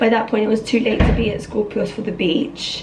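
Speaking at a moderate pace, a woman has a fairly high pitch, a slightly mellow tone and vocal fry, with faint background noise.

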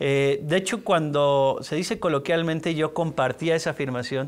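His pitch is fairly high for a man. He talks at a moderate pace. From Mexico City. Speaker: public institution head; interviewee. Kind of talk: interview. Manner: halting. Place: studio. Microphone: lapel.

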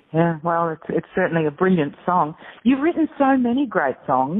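With an Australian accent, a woman speaks at a fairly low pitch. Her intonation is lively. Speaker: radio host. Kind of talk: interview. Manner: animated.

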